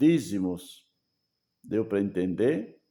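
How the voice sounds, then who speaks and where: A man speaks with a dark, mellow tone and lively intonation. The recording is very clean with a silent background. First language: German (speaking Portuguese). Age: 70s. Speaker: preacher. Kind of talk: sermon. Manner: halting.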